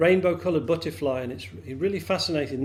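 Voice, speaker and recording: Vocal fry marks this man's medium-pitched voice. He moves at a fairly quick pace with very wide pitch swings. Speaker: storyteller. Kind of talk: storytelling.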